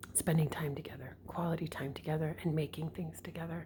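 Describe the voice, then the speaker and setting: A woman whispers at a moderate pace with vocal fry. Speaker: vlogger and mother. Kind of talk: casual vlog. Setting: at home, early morning. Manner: whispering.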